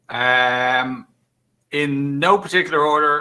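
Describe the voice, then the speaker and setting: Very slow delivery with fairly even intonation. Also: man. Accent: Irish. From Ireland. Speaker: tech executive. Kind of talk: casual chat.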